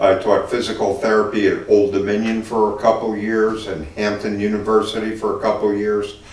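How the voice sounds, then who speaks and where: A man talks at a fairly quick pace with hardly any pauses, his intonation monotone and flat. There is noticeable background noise and audible room echo. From New Jersey (Newark). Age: 60s. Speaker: city mayor, former Marine and physical therapist. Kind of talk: interview. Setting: in-person interview at a car dealership. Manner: conversational with frequent fillers.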